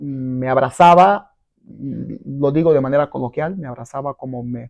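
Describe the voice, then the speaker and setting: A man with an ordinary speaking voice and a fairly high pitch talks at a moderate pace. His pitch variation is ordinary, while his loudness swings widely. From Brazil. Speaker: businessman and marketer. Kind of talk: interview.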